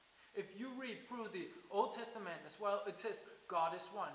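With audible room echo, a man speaks at a moderate pace in a fairly bright tone with ordinary pitch variation.

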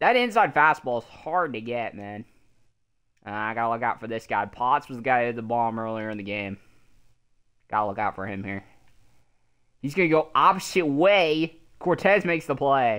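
The speech moves at a moderate pace, broken by long, frequent pauses. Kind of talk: live play-by-play commentary while gaming. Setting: online game stream, playing in a party. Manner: casual, bro-ish, mixes commentary with self-talk.

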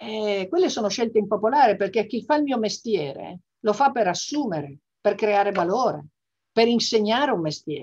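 A woman's normal speaking voice, fairly high, with lively intonation and a moderate pace over a quiet background. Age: 60s. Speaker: business executive and association vice president; interviewee. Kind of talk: interview. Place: home room. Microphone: video call.

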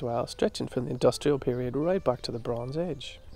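Dark and mellow in tone, a man speaks with lively intonation. The sound is dry with no echo. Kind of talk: interview answer. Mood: enthusiastic, proud. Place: garden. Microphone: lapel.

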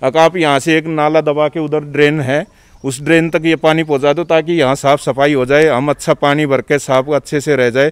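A man at a moderate pace with a quiet background. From Delhi, India (village). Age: 40s. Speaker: temple trustee, villager. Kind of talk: interview. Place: open country. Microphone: handheld.

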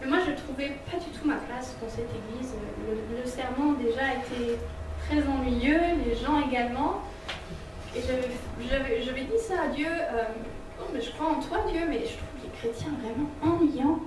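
Amid noticeable background noise and audible room echo, a woman with a high pitch speaks at a fairly slow pace with ordinary pitch variation and long, frequent pauses. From Switzerland. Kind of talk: testimony and teaching talk. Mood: warm, smiling. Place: hall.

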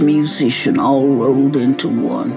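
The speaker goes at a fairly slow pace with clear music playing in the background. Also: woman. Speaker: activist. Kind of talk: storytelling message to students. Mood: warm, earnest storytelling. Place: home room.

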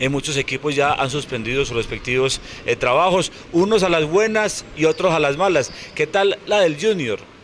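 Lively intonation marks a man speaking at a moderate pace. Light background noise can be heard. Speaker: sports commentator. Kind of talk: commentary. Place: street. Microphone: handheld.

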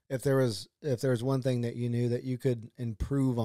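A man talks at a fairly quick pace in a medium pitch with a dark, mellow tone. His intonation stays monotone and flat. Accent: Texan. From Texas, Dripping Springs. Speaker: podcast host. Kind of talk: casual interview.

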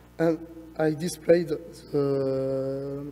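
A man speaks at a fairly high pitch against noticeable background noise. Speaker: research engineer presenting. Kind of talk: conference lightning talk. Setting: conference stage, presentation. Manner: halting, many fillers.

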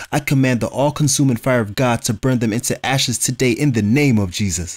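Delivered at a fairly quick pace, a normal speaking voice shows ordinary pitch variation. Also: man. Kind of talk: fervent prayer, urgent spiritual warfare commands. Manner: intense, forceful, commanding, praying in rapid declarations.

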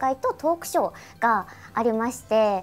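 The woman's intonation is lively. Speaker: voice actor. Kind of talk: radio show talk. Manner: casual, chatty. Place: studio.

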